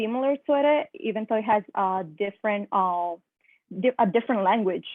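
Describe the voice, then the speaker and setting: A woman speaks in a Spanish accent at a moderate pace. Her voice is fairly high. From Italy. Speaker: high school teacher. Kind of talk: personal testimony in online workshop. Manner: halting, many fillers.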